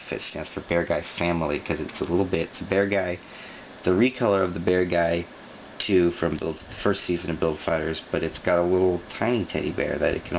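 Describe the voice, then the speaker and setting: A man with a very deep, low voice speaks at a moderate pace with fairly even intonation. Noticeable background noise runs under him. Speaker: YouTuber building model kits. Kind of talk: casual build commentary. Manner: mumbling at times.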